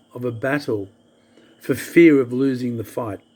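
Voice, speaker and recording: A man's fairly slow speech with fairly even intonation, in a normal speaking voice. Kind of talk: spoken-word soliloquy reading.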